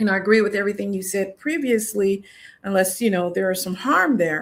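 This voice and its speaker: In a normal speaking voice, a woman talks at a fairly quick pace with medium pitch and ordinary pitch variation. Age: 60s. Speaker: career coach. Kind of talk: panel discussion.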